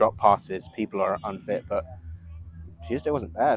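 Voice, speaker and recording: A man with an English accent at a fairly slow pace. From England, Bedfordshire. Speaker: rugby coach. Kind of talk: casual chat.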